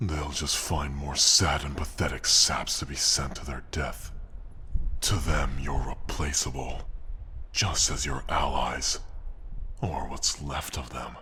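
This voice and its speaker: A man uses a put-on character voice, very deep and low, at a fairly slow pace. Long, frequent pauses break his speech over clear background noise. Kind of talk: audio roleplay. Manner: arrogant, taunting.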